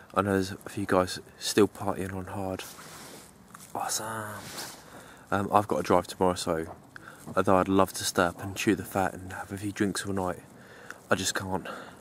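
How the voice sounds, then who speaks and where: A quiet man speaks at a moderate pace with a very deep, low pitch and monotone, flat intonation. His loudness swings widely, he takes long, frequent pauses, and noticeable background noise runs underneath. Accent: English. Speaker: bushcraft vlogger. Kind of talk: casual vlog. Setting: outdoors. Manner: quiet, kept voice down.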